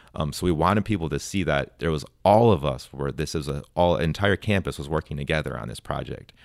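A man with an American accent and a very deep, low pitch, with vocal fry, at a fairly quick pace with hardly any pauses, in a very clean recording with a silent background. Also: ordinary pitch variation. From Wisconsin. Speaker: university sustainability manager. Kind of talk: radio interview. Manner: casual with frequent fillers.

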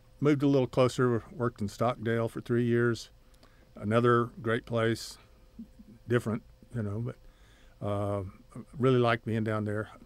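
A man with a Texas accent at medium pitch, fairly even intonation, and long, frequent pauses. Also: moderate pace. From West Texas (Odessa). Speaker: oil painter and retired art teacher. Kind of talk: interview. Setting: studio. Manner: halting.

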